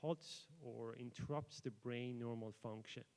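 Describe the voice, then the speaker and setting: A man speaks with a Persian accent. His pitch sits in the medium range. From Iran. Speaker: PhD student researcher. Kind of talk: conference presentation. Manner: hesitant, many fillers.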